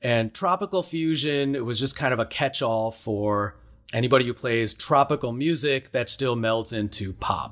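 Speaking at a moderate pace in a Chicago accent, the voice shows ordinary pitch variation. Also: man, medium pitch for a man. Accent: Chicago American. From US Midwest, Chicago. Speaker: musician and cooking show host. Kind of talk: storytelling interview.

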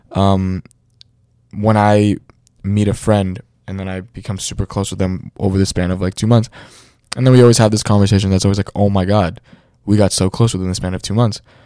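With an American accent, a man with a fairly low pitch and a dark, mellow tone talks at a fairly quick pace in a monotone, flat delivery broken by long, frequent pauses. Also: very clean recording, silent background. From New York City. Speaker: podcast host. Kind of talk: casual chat. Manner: halting, filler-heavy.

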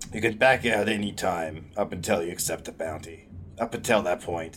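A man puts on a raspy character voice with a very deep, low pitch. He speaks at a moderate pace with ordinary pitch variation over clear background noise. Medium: actual play.

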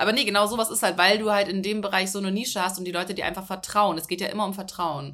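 Bright and sharp in tone, this voice speaks at a very fast pace with fairly even intonation. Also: woman, medium pitch for a woman. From Hamburg, northern Germany. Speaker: content creator. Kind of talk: casual interview chat.

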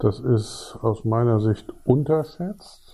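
The tone is dark and mellow, somewhat breathy, with ordinary pitch variation. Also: man. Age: 50s. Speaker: physics professor. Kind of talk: interview. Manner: hesitant, with many fillers.

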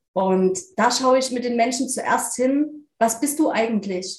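Speaking at a very slow pace, a woman sounds somewhat breathy, her fairly high pitch showing ordinary variation. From eastern Germany, near Leipzig. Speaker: spiritual medium and life coach. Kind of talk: interview.

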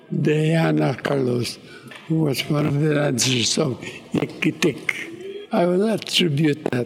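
A man with a Filipino accent and a fairly high pitch talks very slowly with ordinary pitch variation, music playing in the background. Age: 80s+. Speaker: violinist. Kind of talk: interview.

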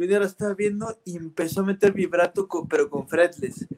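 A man talks at a fairly quick pace in a high pitch, the sound dry and close with no echo. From Irapuato, central Mexico. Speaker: bassist. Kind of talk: casual interview.

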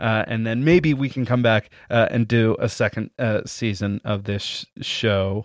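With an unremarkable speaking voice, a man speaks at a fairly slow pace and medium pitch, in a dry, close sound with no echo against a quiet background. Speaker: podcast host. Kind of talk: casual banter, podcast episode. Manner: filler-heavy, laughs often.

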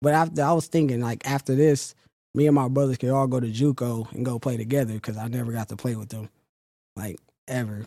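Talking at a very fast pace with an American accent, a man uses a medium pitch and ordinary pitch variation in a dark, mellow tone, the sound dry and close with no echo. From Sacramento, Northern California. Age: 20s. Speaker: football player. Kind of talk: interview.

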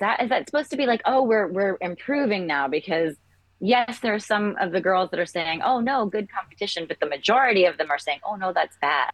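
The speech comes at a fairly quick pace in an American accent. Its pitch swings very widely. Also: woman, medium pitch for a woman. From England until about 10, then US. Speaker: entertainment executive. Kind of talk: casual chat.

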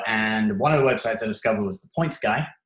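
Somewhat breathy and with an English accent, a man rattles along at a very fast pace. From England. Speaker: YouTube creator. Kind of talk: interview. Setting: call.

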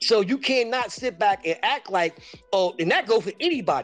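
Delivered at a fairly quick pace with lively intonation, the speech has music in the background. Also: man. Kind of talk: heated debate. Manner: emphatic, insistent, impassioned.

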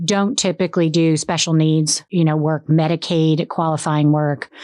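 A woman's plain, everyday voice, fairly low in pitch, at a moderate pace against a quiet background. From South Florida, Boca Raton. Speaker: probate and trust attorney. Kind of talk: casual interview.

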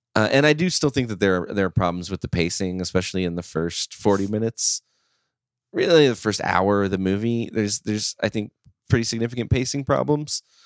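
A fairly low-pitched man with lively intonation at a fairly quick pace, on a very clean recording against a silent background. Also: dry, close sound with no echo. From US Midwest. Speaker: film podcast host. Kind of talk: casual chat. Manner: halting.

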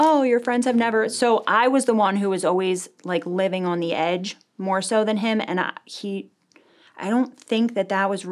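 Moderate pace with ordinary pitch variation. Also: woman. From New Jersey, US. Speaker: recovering addict, nurse. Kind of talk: interview, personal testimony. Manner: hesitant, many fillers.

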